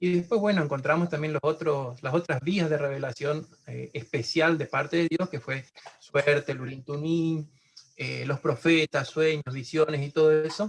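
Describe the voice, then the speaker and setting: Speaking at a moderate pace, a man has a fairly high pitch and a somewhat breathy voice. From Argentina, Chaco. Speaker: caller asking a Bible question. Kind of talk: question in a Bible study Q&A. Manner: halting, many fillers.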